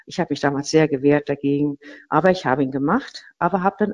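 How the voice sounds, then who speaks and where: A woman is speaking. Her intonation is lively. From Rhineland-Palatinate, near Mainz. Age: 50s. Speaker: architect. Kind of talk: interview. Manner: hesitant, many fillers.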